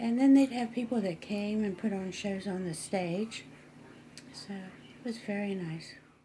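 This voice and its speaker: A woman with an American accent speaks at a fairly slow pace, her medium-pitched voice dark, mellow and somewhat breathy. Her pitch varies in an ordinary way while her loudness swings widely. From western Maryland, small mining town. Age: 80s+. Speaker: local resident sharing town history. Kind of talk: oral history interview. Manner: conversational, slightly halting.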